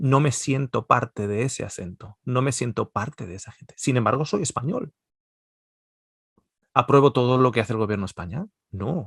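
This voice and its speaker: A man's medium-pitched, somewhat breathy voice with lively intonation, long and frequent pauses, and a dry, close sound with no echo. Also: moderate pace, big swings in loudness. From Basque Country, Spain. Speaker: Bible teacher. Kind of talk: lecture. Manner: conversational.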